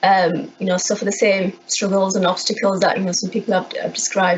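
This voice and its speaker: A woman with a Yorkshire accent at medium pitch and a fairly quick pace, over noticeable background noise. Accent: Bradford. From Bradford, West Yorkshire, England. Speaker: council IT services manager. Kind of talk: conference talk. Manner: halting, many repeated words.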